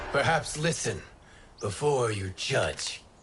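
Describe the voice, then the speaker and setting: A put-on character voice from a man, raspy, medium-pitched and fairly slow. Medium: video game.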